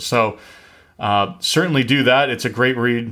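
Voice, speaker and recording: With an American accent, a man talks in a normal speaking voice at a moderate pace and with fairly even intonation. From US Northeast. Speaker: podcast host, real estate investor. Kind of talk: podcast intro.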